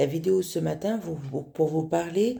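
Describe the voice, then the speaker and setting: A woman speaks in a very deep, low pitch with a dark, mellow tone. Her voice is somewhat breathy, in a very clean recording with a silent background. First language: not French (speaking French). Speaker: spiritual teacher. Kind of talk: spiritual talk. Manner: halting, many fillers.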